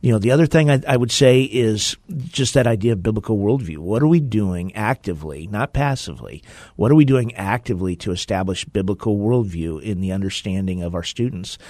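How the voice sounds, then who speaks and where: A man's fairly low voice, fairly quick and lively in intonation, against a quiet background. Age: 50s. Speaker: school superintendent. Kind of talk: interview.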